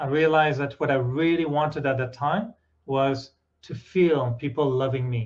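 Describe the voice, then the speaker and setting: At a moderate pace, a man with a French accent speaks at a fairly high pitch with fairly even intonation. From France. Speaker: meditation teacher and journalist. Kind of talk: spiritual talk with consecutive interpretation. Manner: short phrases with pauses for interpreter.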